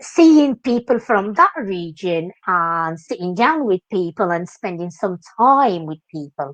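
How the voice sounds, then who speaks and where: In a Moroccan accent, a woman speaks at a moderate pace and medium pitch with lively intonation, the sound dry and close with no echo. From Morocco. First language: Moroccan Arabic. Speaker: dance teacher. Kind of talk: interview. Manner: animated.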